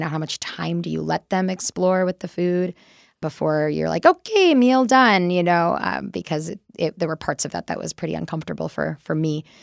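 A woman with an American accent talks at a fairly quick pace. The recording is very clean, with a silent background and a dry, close sound with no echo. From US Midwest, Wisconsin. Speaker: nutrition director and dietitian. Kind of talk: casual interview conversation.

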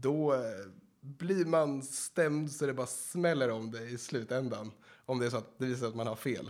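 Using an unremarkable speaking voice, a man talks at a moderate pace with a medium pitch and ordinary pitch variation. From Sweden. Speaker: real estate agent trainee. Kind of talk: casual interview.

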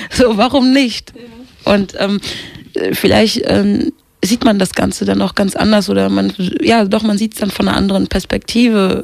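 A woman's speech full of long, frequent pauses, over noticeable background noise. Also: moderate pace. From Kenya. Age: 20s. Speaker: rapper and singer. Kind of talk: interview.

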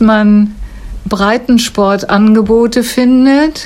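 Over noticeable background noise, a woman with fairly high pitch speaks in a flat, monotone way. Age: 70s. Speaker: retired school staff, former basketball player. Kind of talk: interview answers. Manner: articulate, fluent.

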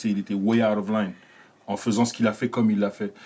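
The recording is very clean, with a silent background. A man speaks with fairly low pitch and monotone, flat intonation. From France, Paris. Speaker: comedian. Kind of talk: casual chat. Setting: studio.

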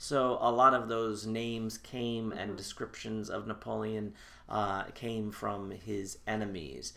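Over audible room echo, a man with a fairly low pitch and a bright, sharp tone speaks at a fairly slow pace with fairly even intonation. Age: 40s. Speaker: historian and reenactor. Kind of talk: interview, historical explanation. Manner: formal.

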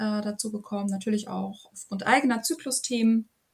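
A woman speaks in a fairly high, somewhat breathy voice. Her pace is moderate. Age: 30s. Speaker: yoga and women's health coach. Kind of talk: interview.

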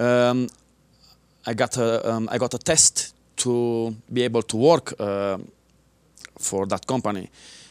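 On a very clean recording with a silent background, dry and close with no echo, a man at a medium pitch speaks at a fairly slow pace with fairly even intonation and long, frequent pauses. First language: not English. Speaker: martial arts instructor and military veteran. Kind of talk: interview. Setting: local TV studio.

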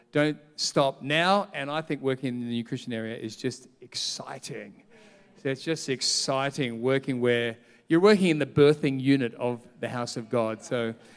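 Speaking with an Australian accent, a man sounds animated, with a medium pitch, ordinary pitch variation and a moderate pace. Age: 50s. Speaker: pastor. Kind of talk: sermon.

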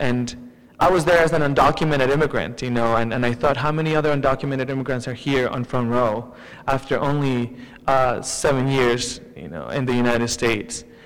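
Against noticeable background noise, a man talks at a fairly quick pace, his medium-pitched voice keeping fairly even intonation. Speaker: student and immigrant rights advocate. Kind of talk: panel discussion.

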